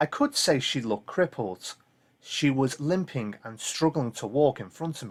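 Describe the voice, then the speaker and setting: A man with a Liverpool accent, lively intonation and big swings in loudness. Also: fairly high pitch for a man, moderate pace. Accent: Liverpool (Scouse). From Liverpool, England. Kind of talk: ghost story reading.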